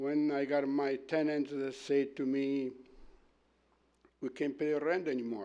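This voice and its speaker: Against a quiet background, a dark, mellow voice moves at a fairly slow pace. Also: man. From Italy. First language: Italian. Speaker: property owner speaking as delegation. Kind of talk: public delegation at council meeting. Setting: council chamber meeting. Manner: halting.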